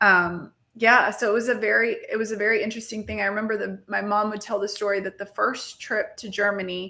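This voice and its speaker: A woman's bright, sharp voice with vocal fry, monotone and flat, hardly any pauses, on a very clean recording with a silent background. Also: medium pitch for a woman, fairly quick pace. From Mexico and Texas (grew up bilingual, moved to Texas as a child). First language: Spanish. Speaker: marketing entrepreneur, CEO and podcast host. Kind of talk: podcast interview.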